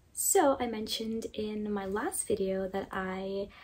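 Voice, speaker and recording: Soft-spoken and somewhat breathy, this woman's voice sits at a fairly high pitch. She speaks quietly throughout. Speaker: fashion content creator. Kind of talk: casual talk to camera. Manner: soft, low volume.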